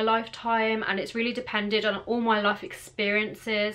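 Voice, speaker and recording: A woman is talking. Her pace is moderate. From England. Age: 20s. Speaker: vlogger. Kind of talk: casual talk to camera. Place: home room. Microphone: phone near.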